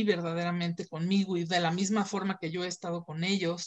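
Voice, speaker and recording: A woman's voice at a moderate pace, with a Mexican accent and fairly even intonation. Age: 30s. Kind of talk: interview.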